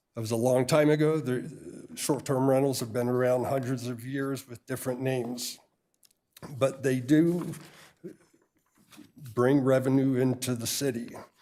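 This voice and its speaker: Audible room echo surrounds a man speaking at a moderate pace in a medium-pitched voice with a dark, mellow tone. His intonation is monotone and flat, broken by long, frequent pauses. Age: 60s. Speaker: realtor, public commenter. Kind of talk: public comment at council meeting. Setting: city council chamber.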